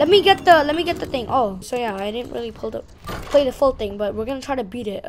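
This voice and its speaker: Against noticeable background noise, a woman speaks with lively intonation. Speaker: gaming youtuber. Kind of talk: gameplay commentary. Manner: halting; animated.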